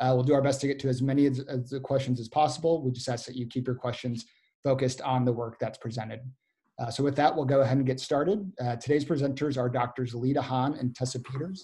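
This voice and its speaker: Speaking at a very fast pace, a man has a somewhat breathy, dark, mellow tone and fairly even intonation against a quiet background. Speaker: webinar moderator. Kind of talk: webinar moderation. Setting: video call. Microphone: webcam.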